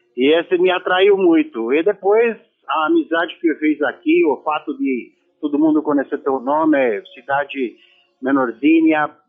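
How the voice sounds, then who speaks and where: Using a normal speaking voice, a man talks fairly slowly at a fairly high pitch with ordinary pitch variation. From Romania. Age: 60s. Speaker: former footballer. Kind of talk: radio interview.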